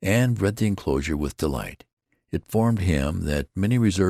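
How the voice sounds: Intonation rises and falls in a lively way in this natural reading voice. The background stays quiet.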